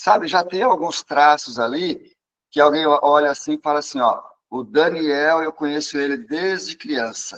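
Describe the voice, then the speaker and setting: At a fairly slow pace, a man speaks in a normal speaking voice with a fairly high pitch. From Brazil, São Paulo state. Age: 60s. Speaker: psychologist. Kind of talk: interview talk.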